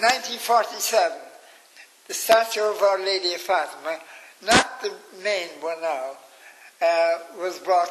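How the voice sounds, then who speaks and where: Speaking with a Cork accent, a man keeps a moderate pace and ordinary pitch variation. Noticeable background noise runs behind him. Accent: Irish, Cork. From Ireland. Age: 80s+. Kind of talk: interview answer. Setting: nursing home.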